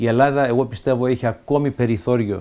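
The man's dark, mellow voice sits at medium pitch, with fairly even intonation and a moderate pace. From Canada, Montreal, Greek immigrant family; Canada. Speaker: senator. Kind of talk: interview. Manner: halting, frequent fillers and repetitions. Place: home room.

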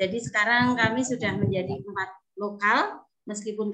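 A woman talks with a bright, sharp tone at a fairly high pitch. Her pitch variation is ordinary, and the background is quiet. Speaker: kindergarten teacher. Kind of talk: testimony. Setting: video call. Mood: grateful, warm. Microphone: video call.

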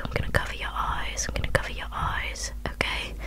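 A woman speaks softly. Loud background noise fills the recording. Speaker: ASMR creator. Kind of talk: soft roleplay talk to viewer. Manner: soft close-mic ASMR murmur. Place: home room.

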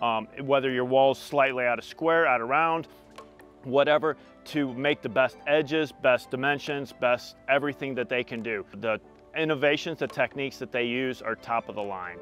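A man at a moderate pace with fairly even intonation, a dry sound with no echo, and faint music in the background. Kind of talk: project update to camera. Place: garden. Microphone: lapel.

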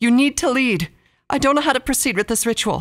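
In a put-on character voice, fairly high and strained, the speaker moves at a fairly quick pace over a very clean recording with a silent background. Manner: strained, tense, urgent.

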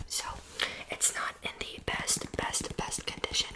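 A soft-spoken woman, whispering. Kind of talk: ASMR roleplay talk to viewer. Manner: soft whisper with repeated words. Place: home room. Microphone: phone near.

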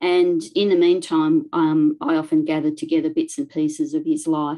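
A woman speaks with an Australian accent against a quiet background. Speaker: local studies librarian; presenter. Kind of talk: presentation. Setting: video call. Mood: warm, enthusiastic storytelling. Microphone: video call.

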